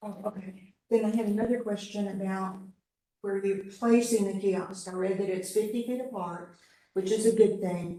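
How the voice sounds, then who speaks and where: Audible room echo surrounds a woman speaking at a moderate pace and medium pitch, her dark, mellow tone held in a monotone, flat intonation. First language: not English. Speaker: city advisory committee member. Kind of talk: public meeting discussion.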